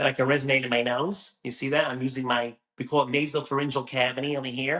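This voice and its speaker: Putting on a character voice, a man talks very fast in a nasal, flat monotone at a medium pitch. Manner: demonstrating vocal resonance.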